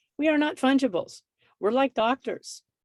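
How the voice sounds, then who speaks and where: Vocal fry runs through a woman's voice, heard in a dry, close sound with no echo. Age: 60s. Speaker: mediator and instructor. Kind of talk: lecture. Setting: video call. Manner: animated.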